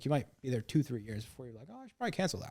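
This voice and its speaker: A man with an American accent and a dark, mellow tone at medium pitch, on a very clean recording with a silent background. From US Midwest (Illinois). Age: 20s. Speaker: sales trainer. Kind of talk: podcast interview. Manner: casual, filler-heavy.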